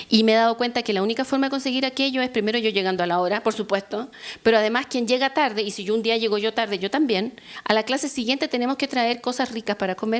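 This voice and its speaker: A woman with a Chilean accent talks at a very fast pace with fairly even intonation. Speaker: law professor. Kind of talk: workshop lecture. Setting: workshop with audience.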